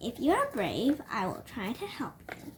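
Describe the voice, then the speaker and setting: Someone uses a put-on character voice at a moderate pace, with very wide pitch swings. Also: woman, high pitch for a woman. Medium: read story. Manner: calm, knowing.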